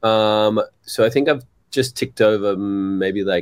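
Very slow delivery with an Australian accent. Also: man. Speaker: guitarist and songwriter. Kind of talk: casual chat. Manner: hesitant, many fillers.

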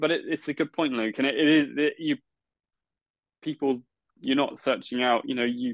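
A man with an English accent speaks at a fairly high pitch. His speech has long, frequent pauses. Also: fairly even intonation, moderate pace. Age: 30s. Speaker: podcast host, guitar meetup organiser. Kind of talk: interview.

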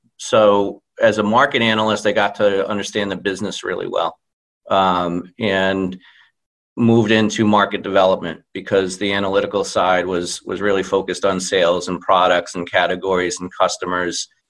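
Over a quiet background, a man talks at a moderate pace in a fairly low pitch. His intonation is monotone and flat. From central Massachusetts. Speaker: customer care director. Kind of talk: interview. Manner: hesitant with fillers.

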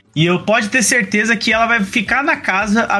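A man speaks in a raised, projected voice at a high pitch and a moderate pace. Noticeable background noise is present. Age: 30s. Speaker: content creator. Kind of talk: casual chat.

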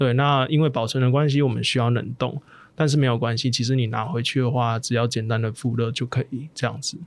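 Using a normal speaking voice, a man talks at a fairly quick pace, medium in pitch, with fairly even intonation. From southern Taiwan. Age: 30s. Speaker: plant-based meat entrepreneur. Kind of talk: interview.

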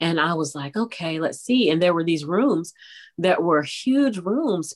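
With an American accent, a woman uses a normal speaking voice at a moderate pace, fairly low in pitch and lively in intonation. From Texas. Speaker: voiceover artist and radio personality. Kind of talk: interview conversation.

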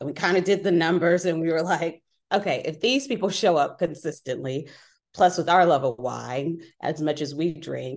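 A plain, everyday voice from a woman with an American accent, fairly low in pitch, at a moderate pace with ordinary pitch variation and a quiet background. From Inglewood, Los Angeles, US. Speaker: wedding planner and wine bar co-owner. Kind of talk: casual interview.

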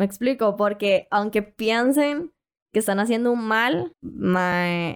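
A woman with a Costa Rican accent, fairly high pitch with ordinary variation, a very slow pace and very even loudness. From Costa Rica, Puntarenas. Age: young. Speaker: online content seller. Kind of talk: casual interview.

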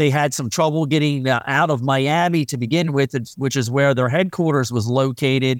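A man with an American accent, fairly high pitch, fairly even intonation and a moderate pace, an ordinary speaking voice. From US Mid-Atlantic, northeastern Maryland. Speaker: meteorologist and railroad buff. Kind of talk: interview.

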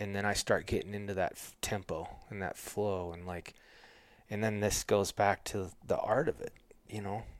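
An unremarkable speaking voice from a man, fairly low, moderate in pace, with fairly even intonation. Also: big swings in loudness, very clean recording, silent background. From Montana. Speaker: bowhunter and houndsman. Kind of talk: casual interview chat.

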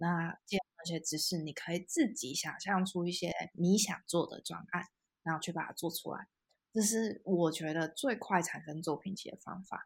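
Somewhat breathy and fairly low, a woman's voice moves at a moderate pace with ordinary pitch variation. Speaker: UX designer. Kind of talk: interview.

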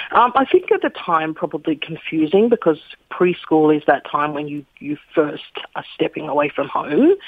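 A woman with an Australian accent, very deep and low in pitch, with lively intonation. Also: moderate pace. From Australia, Sydney suburbs. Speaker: children's author and poet. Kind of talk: interview. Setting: phone call.

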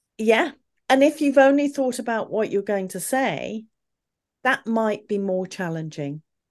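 A woman with a British accent talks at a fairly slow pace. Her pitch swings very widely against a quiet background. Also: fairly high pitch for a woman. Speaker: communication coach and former opera singer. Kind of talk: interview conversation.

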